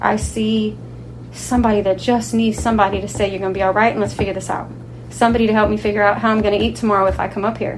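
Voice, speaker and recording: Amid audible room echo and noticeable background noise, a woman speaks very fast. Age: 40s. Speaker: non-profit youth outreach facilitator. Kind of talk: interview. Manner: halting.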